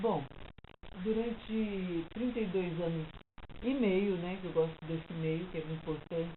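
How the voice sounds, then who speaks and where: Ordinary pitch variation at a fairly slow pace, broken by long, frequent pauses. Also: woman, fairly low pitch for a woman. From São Paulo, Brazil. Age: 60s. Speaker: retired teacher and psychology student. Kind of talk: life story interview.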